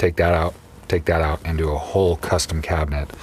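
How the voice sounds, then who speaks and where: This man's somewhat breathy voice moves along at a moderate pace. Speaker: YouTuber reviewing subwoofers. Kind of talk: casual video tour. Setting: unheated coach in freezing weather. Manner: hesitant, many fillers.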